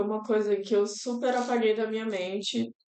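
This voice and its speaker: Her voice is fairly high for a woman, and her intonation stays monotone and flat. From Brazil, Federal District (Brasília area). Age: 20s. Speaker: university student and NGO worker, host's fiancée. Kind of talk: podcast interview, personal testimony. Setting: live-streamed podcast.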